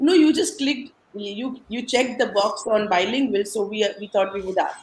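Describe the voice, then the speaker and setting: A woman with an Indian accent speaks at a moderate pace in a medium pitch, her intonation lively. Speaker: podcast guest sharing life story. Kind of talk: casual interview, personal story. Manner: animated storytelling.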